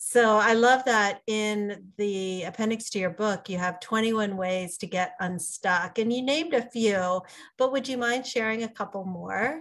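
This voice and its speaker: A woman with a plain, everyday voice, fairly high pitch and ordinary pitch variation, at a fairly slow pace with hardly any pauses, over a quiet background. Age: 50s. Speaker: podcast host. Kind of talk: casual interview.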